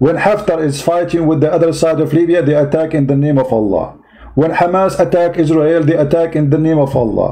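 Noticeable background noise sits behind a man talking at a fairly quick pace. His pitch is fairly high, and his loudness stays very even. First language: not English. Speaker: online religious and political commentator. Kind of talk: reaction commentary rant. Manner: animated, combative; repetitive, emphatic.

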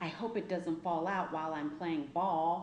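In a room with audible echo, a woman speaks at a fairly low pitch with a slightly mellow tone, a fairly slow pace and fairly even intonation.

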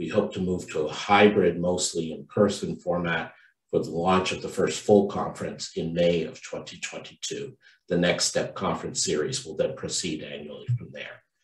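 A man at a moderate pace, with big swings in loudness, audible room echo and a quiet background. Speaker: conference host. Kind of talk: welcome speech. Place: home room. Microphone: video call.

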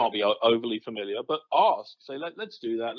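A man with an unremarkable speaking voice at medium pitch and a moderate pace. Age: 50s. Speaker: communication consultant and author. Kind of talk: interview.

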